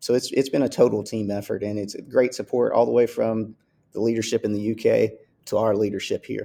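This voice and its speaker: A man with a Southern US accent at a fairly quick pace, on a very clean recording with a silent background. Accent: Southern US, heard as Texan. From US South, Kentucky. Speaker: school athletics director. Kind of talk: interview.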